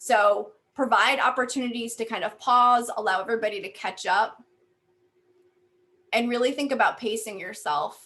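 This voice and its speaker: With a bright, sharp tone, a woman speaks at a moderate pace in a fairly high pitch with ordinary pitch variation. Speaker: university faculty member and workshop presenter. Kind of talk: workshop presentation.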